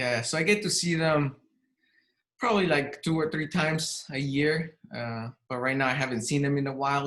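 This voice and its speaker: Here a man speaks at a fairly high pitch. His pace is moderate and his pitch variation ordinary. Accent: Spanish. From Mexico City, Mexico. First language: Spanish. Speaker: real estate agent. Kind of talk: casual interview.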